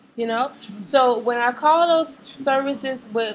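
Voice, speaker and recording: Noticeable background noise accompanies a woman talking with an American accent. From Chicago, US. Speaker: vlogger. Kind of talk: webcam rant. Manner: hesitant, many fillers.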